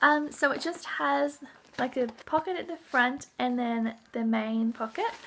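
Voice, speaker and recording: A woman in an Australian accent, high-pitched with lively intonation. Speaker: parenting vlogger. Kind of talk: casual show-and-tell vlog. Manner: hesitant with many ums.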